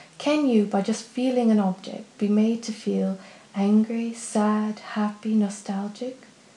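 A woman with an American accent speaks at a fairly slow pace, her pitch fairly high. Her intonation stays fairly even, and the room echo is audible. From Poland / United States. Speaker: glass artist. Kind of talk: crowdfunding pitch. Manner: scripted, earnest. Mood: calm, earnest, enthusiastic. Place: home room.

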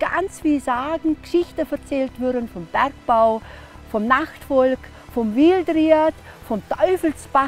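Over faint music in the background, a woman with a high pitch talks at a very slow pace in a dry sound with no echo. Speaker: storyteller and hiking guide; former school teacher. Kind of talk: interview answer. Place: open country. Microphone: lapel.

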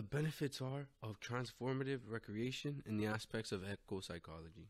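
A man talks with an American accent. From Miami, Florida. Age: 20s. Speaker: podcast host, outdoor leadership student. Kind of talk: solo podcast monologue. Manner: casual, halting with repetitions.

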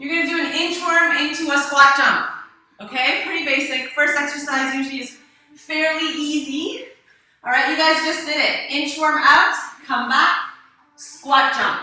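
In a room with strong echo, a woman uses a raised, projected voice at a fairly slow pace. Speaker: fitness instructor. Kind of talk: workout instruction. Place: gym. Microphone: camera far.

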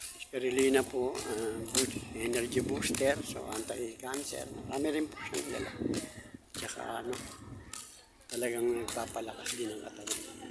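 Fairly even intonation comes with long, frequent pauses and big swings in loudness, along with audible room echo and noticeable background noise. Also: man, medium pitch for a man, moderate pace. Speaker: reflexologist and vlogger. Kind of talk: casual vlog talk; spoken prayer.

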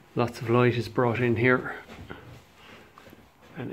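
Light background noise can be heard under a man's voice. He speaks with a monotone, flat intonation. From Ireland. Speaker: estate agent / auctioneer. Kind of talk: property viewing walkthrough narration. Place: home room. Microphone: phone near.

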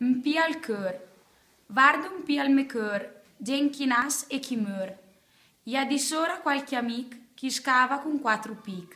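Against a quiet background, a woman with a Trentino accent uses a raised, projected voice at a high pitch, speaking at a fairly slow pace with ordinary pitch variation. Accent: Pinzolo dialect of Trentino. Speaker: poetry reader. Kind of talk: poetry reading.

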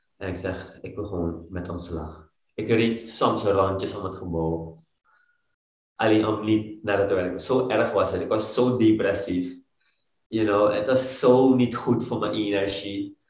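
A man's fairly low, somewhat breathy voice at a very slow pace, with fairly even intonation, a quiet background and audible room echo. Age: 30s. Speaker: fitness coach, former banker. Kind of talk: interview. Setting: studio, sitting on the floor. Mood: earnest, reflective. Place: home room. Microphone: video call.

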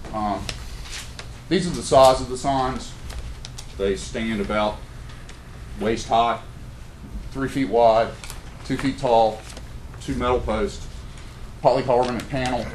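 A man with an American accent talks at a fairly slow pace with a medium pitch, ordinary pitch variation and long, frequent pauses, over noticeable background noise. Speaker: local historian presenting trails program. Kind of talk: presentation at public meeting. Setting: county commissioners meeting room.

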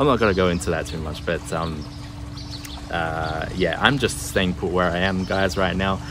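Music plays behind a man with an Australian accent. His voice is very deep and low, with ordinary pitch variation. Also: moderate pace. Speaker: travel vlogger. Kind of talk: casual vlog talk to camera. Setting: outdoors. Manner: halting, many fillers.

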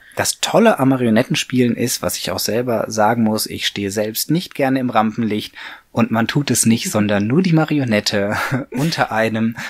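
He has a plain, everyday voice. His pitch is medium and his pace moderate. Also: ordinary pitch variation. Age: 40s. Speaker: puppeteer, mechatronics engineer. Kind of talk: interview answer.

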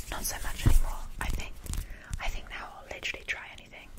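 A soft-spoken woman talking at a very fast pace over loud background noise. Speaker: ASMR creator. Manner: soft close-mic ASMR murmur. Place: home room. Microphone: studio mic.

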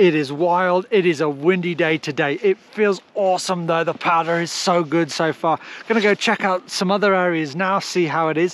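Speaking at a moderate pace with hardly any pauses, a man with a high pitch keeps his intonation fairly even in a dry sound with no echo. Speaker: skier vlogger. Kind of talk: casual vlog chat. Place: open country. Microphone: phone near.

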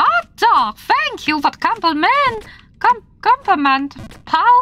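In a put-on character voice, the speaker goes extremely high with very wide pitch swings at a fairly slow pace. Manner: cheerful, cartoonish.

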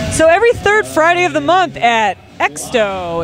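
Over clear background music, a woman speaks in a playful tone with very wide swings in pitch. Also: dry sound with no echo. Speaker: roller derby commentator. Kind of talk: sports commentary, live color commentary on roller derby. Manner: playful, conversational, lightly jokey. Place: hall.

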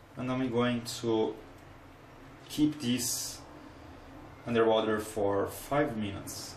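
A man with a Brazilian accent talks at a very slow pace, with long, frequent pauses and fairly even intonation. Light background noise and audible room echo are present. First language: Portuguese. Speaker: electronics hobbyist making tutorial videos. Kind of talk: tutorial. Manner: halting, hesitant. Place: kitchen. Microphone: phone near.

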